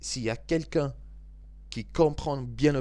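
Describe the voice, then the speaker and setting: The speech comes at a very slow pace. It is delivered in a British accent. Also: man. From Scotland and England. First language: English (speaking French). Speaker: football video commentator. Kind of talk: angry football debrief monologue. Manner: halting, stumbling over words; animated.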